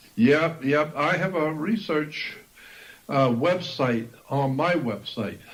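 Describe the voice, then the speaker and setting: A man's fairly high voice, very slow, with ordinary pitch variation, audible room echo and noticeable background noise. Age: 70s. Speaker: esoteric researcher and author. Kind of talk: interview.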